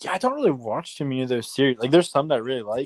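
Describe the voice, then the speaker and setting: The speaker mumbles with fairly even intonation. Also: man. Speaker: fantasy football podcast co-host. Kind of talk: casual chat. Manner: mumbling.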